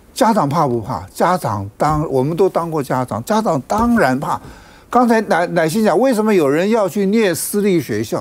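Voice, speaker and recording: A man talks at a moderate pace. He has a Taiwanese accent. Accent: Taiwanese Mandarin. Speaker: legislator; TV talk show commentator. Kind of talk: TV political talk show; panel commentary. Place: studio. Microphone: lapel.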